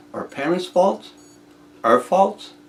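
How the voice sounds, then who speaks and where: A man talks at a moderate pace. He has a French Canadian accent. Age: 60s. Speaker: inventor. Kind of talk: casual video monologue. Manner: halting, many repetitions.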